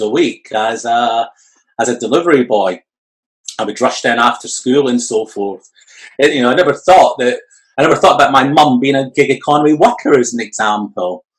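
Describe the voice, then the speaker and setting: With a Scottish accent, a man of medium pitch speaks at a fairly quick pace with ordinary pitch variation. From Scotland. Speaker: entrepreneur and future of work expert. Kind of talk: interview. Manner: hesitant, many fillers.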